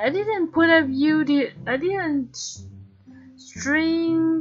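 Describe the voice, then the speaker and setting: A woman's voice with music in the background. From Taiwan. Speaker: gaming streamer. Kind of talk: game stream with reading aloud. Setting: live stream. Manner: halting.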